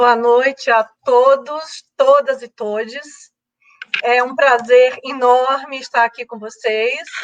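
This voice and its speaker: A woman speaks at a high pitch and a very slow pace, with fairly even intonation. Her loudness swings widely. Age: 60s. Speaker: lawyer. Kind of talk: live online debate. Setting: video call from home.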